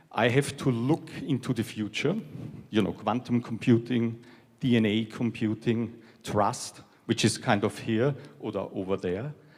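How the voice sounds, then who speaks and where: This man talks at a fairly slow pace with a European accent. His pitch is medium and his intonation fairly even. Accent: European accent, noticeable. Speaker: technology executive. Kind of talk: keynote speech.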